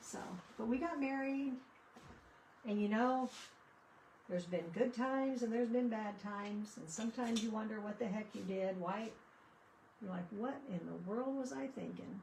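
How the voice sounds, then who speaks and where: Long, frequent pauses break up a woman's speech, which has ordinary pitch variation and audible room echo. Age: 60s. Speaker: craft livestreamer. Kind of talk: casual chat during live crafting stream. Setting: livestream. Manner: chatty, conversational.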